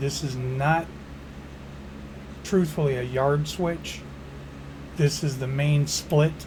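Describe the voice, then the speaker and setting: Speaking with an American accent, a man has a medium pitch and fairly even intonation at a very slow pace. Audible room echo surrounds his voice. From Chicago area, US Midwest. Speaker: gaming YouTuber, former railroad worker. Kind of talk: game tutorial. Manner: casual, folksy.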